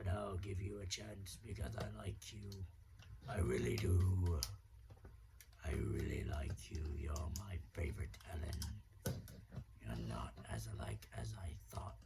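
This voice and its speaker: A man's put-on character voice, very deep and low, growling with a menacing, theatrical tone, fairly slow with long, frequent pauses, over loud background noise. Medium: solo performance. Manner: sneering, menacing, theatrical.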